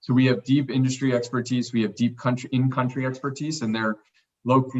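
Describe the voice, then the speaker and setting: A man speaks with a medium pitch. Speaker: investment manager presenting to committee. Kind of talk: business presentation. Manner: fast.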